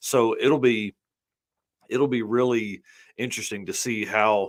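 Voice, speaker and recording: With a Southern US accent, a man speaks at a fairly slow pace and with fairly even intonation. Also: medium pitch for a man. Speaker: drag racing show host. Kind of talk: casual interview chat.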